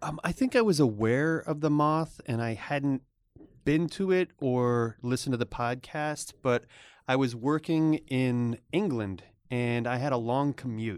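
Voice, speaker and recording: In a very clean recording with a silent background, a man with an American accent speaks at medium pitch and a fairly slow pace. His is an ordinary speaking voice with ordinary pitch variation. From US, Northern Virginia (DC suburbs). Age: 40s. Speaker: web developer and storyteller. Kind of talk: casual interview chat. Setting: studio.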